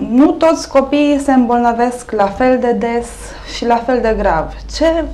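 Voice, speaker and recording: Her high-pitched voice moves at a fairly slow pace, and this woman's pitch varies in an ordinary way. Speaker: TV show host. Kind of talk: talk show introduction and interview questions. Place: studio. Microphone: lapel.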